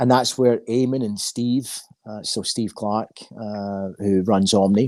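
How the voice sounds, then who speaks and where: With a Scottish accent, a man talks at a fairly slow pace and fairly low pitch with fairly even intonation. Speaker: recruitment firm founder. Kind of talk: interview.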